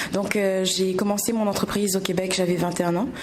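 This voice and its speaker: Noticeable background noise and audible room echo surround the voice. Delivery is very fast, in a monotone, flat intonation. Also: woman. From Réunion. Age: 20s. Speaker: entrepreneur. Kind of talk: interview.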